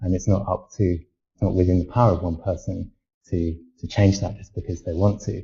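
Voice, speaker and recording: There is a somewhat breathy quality to the voice. The pace is moderate. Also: man. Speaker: academic discussing identity. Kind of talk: panel discussion. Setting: live video hangout. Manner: halting.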